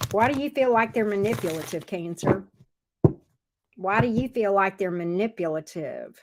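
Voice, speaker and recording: Speaking at a medium pitch with a slight Southern US accent, a woman uses ordinary pitch variation and takes long, frequent pauses. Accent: slight Southern drawl. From US South. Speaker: tarot reader. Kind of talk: live tarot reading.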